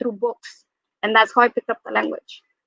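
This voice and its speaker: A woman speaks in a high pitch with a Spanish accent. The sound is dry and close, with no echo. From Mexico. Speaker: school librarian. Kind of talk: panel discussion.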